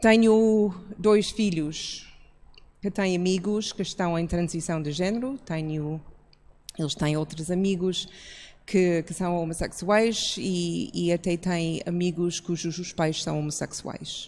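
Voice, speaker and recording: A woman's fairly low voice at a very slow pace, ordinary pitch variation, and a very clean recording over a silent background. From outside Portugal. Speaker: church pastor. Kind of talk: public talk.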